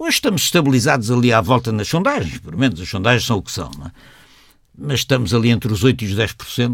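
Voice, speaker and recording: A man with a medium pitch rattles along at a very fast pace. His lively intonation comes with vocal fry. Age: 70s. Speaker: historian and party co-founder. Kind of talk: radio interview. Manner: halting, many repetitions.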